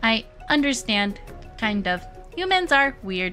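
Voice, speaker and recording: A woman uses a put-on character voice with a fairly high pitch and very wide pitch swings. She talks at a fairly slow pace over clear music in the background. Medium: game stream.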